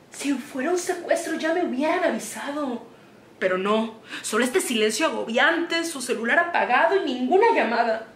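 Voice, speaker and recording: A woman speaks in a high pitch at a moderate pace. The recording has light background noise and audible room echo. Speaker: actress playing a worried mother. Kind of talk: dramatic theatre monologue. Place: home room.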